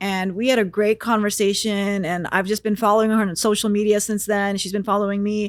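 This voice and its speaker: A woman's medium-pitched, ordinary speaking voice with an American accent, fairly quick in pace, on a very clean recording with a silent background. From United States. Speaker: stand-up comedian and podcaster. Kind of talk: casual interview chat.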